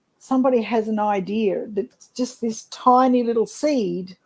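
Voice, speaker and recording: Very slowly, a woman speaks in an Australian accent with a dark, mellow tone. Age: 70s. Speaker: network marketer. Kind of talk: casual interview chat.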